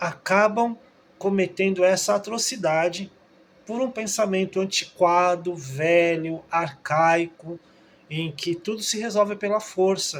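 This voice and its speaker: A man talks at a very slow pace in a high pitch. His pitch varies in an ordinary way. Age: 60s. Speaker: trained teacher, video commentator. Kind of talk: opinion monologue. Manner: halting, with frequent filler 'é'.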